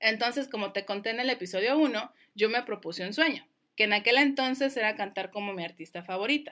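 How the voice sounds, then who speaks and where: On a very clean recording with a silent background, a woman talks at a fairly quick pace with a bright, sharp tone and a fairly high pitch. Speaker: language coach and podcast host. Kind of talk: solo educational podcast.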